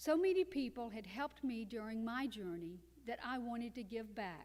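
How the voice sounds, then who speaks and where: A woman with an unremarkable speaking voice, fairly high in pitch, with lively intonation at a moderate pace. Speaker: cancer survivor and author. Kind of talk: testimony.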